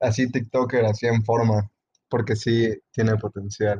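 A man talks at a moderate pace, sounding somewhat breathy. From El Salvador. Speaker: podcast co-host. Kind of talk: casual chat.

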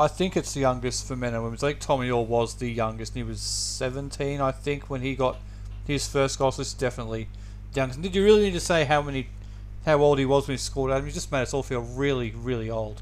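In an Australian accent, this man talks at a very fast pace. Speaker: podcast co-host. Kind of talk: casual sports podcast chat.

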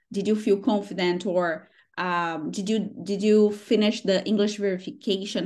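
The background is quiet. A woman speaks with a Brazilian accent. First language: Portuguese. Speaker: interviewer on a job platform's success team. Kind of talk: casual interview. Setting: video call interview. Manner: warm, enthusiastic.

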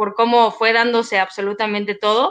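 A plain, everyday voice from a woman, fairly high in pitch, at a moderate pace. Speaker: former coffee chain district manager. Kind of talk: casual chat.

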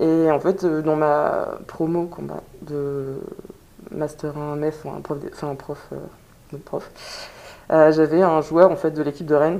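Speaking very slowly with long, frequent pauses, a woman uses a very deep, low pitch and flat, monotone intonation while her loudness swings widely. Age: 20s. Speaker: amateur american football player. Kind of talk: interview testimony. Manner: halting.

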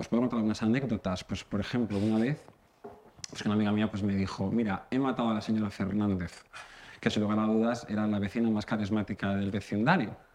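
Very fast speech from a man, fairly low in pitch, the intonation fairly even. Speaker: comedy contributor. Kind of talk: comedic monologue.

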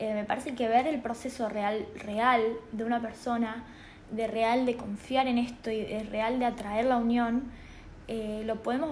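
A somewhat breathy voice at a moderate pace, flat and monotone, with audible room echo. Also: woman. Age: 20s. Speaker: spiritual podcaster. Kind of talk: personal monologue. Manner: halting, many fillers.

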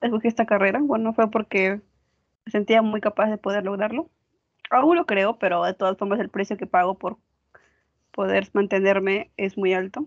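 Medium pitch, ordinary pitch variation and a moderate pace in a woman's voice, an ordinary speaking voice. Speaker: architecture student. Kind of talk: casual chat.

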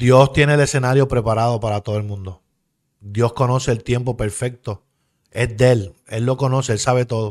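A man with a normal speaking voice talks at a moderate pace and medium pitch, his intonation fairly even. The recording is very clean, with a silent background. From Puerto Rico, Bayamón. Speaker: former pro wrestler and pastor. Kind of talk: interview testimony.

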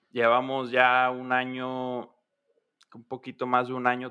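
Bright and sharp in tone, a man's voice moves at a fairly slow pace. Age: 20s. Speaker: engineering student and band musician. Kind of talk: casual chat.

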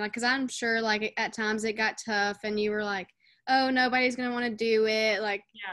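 Against a quiet background, a woman with a plain, everyday voice speaks at a moderate pace, her fairly high pitch held in fairly even intonation. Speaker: student podcast host. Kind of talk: casual interview.

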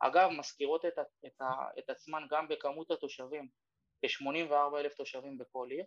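Speaking at a fairly slow pace, a man is heard in a dry, close sound with no echo. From Ramla, Israel. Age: 30s. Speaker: real estate broker. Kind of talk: workshop talk over Zoom. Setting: Zoom workshop.

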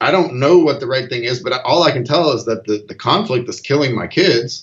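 Speaking at a fairly quick pace with an American accent, a man sounds somewhat breathy, his medium-pitched voice carrying lively intonation. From US South. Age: 40s. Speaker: father and dad coach. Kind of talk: interview. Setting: remote call.

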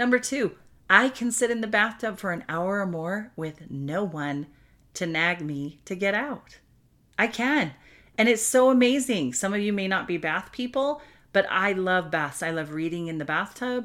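A woman speaks at a moderate pace and medium pitch, her animated tone showing very wide pitch swings. The recording is very clean, with a silent background. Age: 50s. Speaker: podcast host and single-life coach. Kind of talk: solo podcast monologue.

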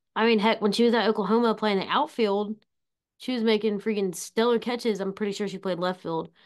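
Against a quiet background, a woman with a fairly high pitch and an ordinary speaking voice speaks at a fairly quick pace with fairly even intonation. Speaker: podcast co-host. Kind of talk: casual sports podcast discussion.

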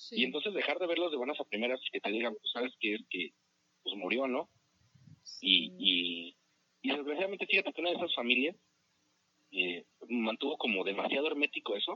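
Long, frequent pauses break up a man's fairly quick pace. His fairly high pitch carries vocal fry and very wide pitch swings. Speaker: podcast co-host. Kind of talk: casual chat.

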